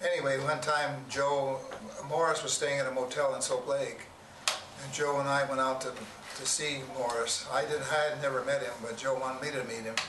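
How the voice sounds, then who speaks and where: With an American accent, a man speaks at a moderate pace and medium pitch with fairly even intonation, amid noticeable background noise and audible room echo. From Washington State, USA. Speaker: elderly storyteller. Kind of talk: oral history interview. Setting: small room with audience. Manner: halting.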